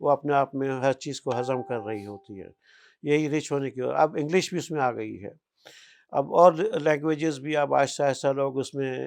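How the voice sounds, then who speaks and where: A man speaks in a plain, everyday voice, fairly high in pitch with ordinary pitch variation. His loudness swings widely over a quiet background. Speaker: hakeem, author. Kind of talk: oral history interview answer.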